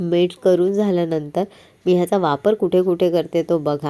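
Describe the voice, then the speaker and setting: Flat, monotone intonation carries a dark, mellow tone. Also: woman. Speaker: home cook. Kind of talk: cooking tutorial narration. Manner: warm, friendly.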